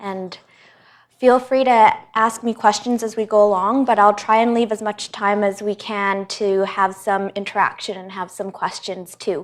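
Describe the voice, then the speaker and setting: In a very clean recording with a silent background, a woman speaks at a medium pitch and a moderate pace with monotone, flat intonation. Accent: Canadian. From Canada, Vancouver. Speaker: hematologist. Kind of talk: lecture. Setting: hospital presentation room with audience.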